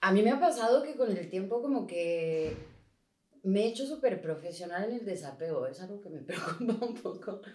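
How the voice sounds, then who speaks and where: At a moderate pace, a woman speaks in an ordinary speaking voice at medium pitch with lively intonation. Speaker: podcast co-host. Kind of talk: casual interview conversation.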